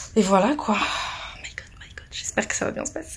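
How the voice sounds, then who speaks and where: A woman at a medium pitch with ordinary pitch variation, moderate pace, and noticeable background noise. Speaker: vlogger and bride. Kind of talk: casual vlog. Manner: animated.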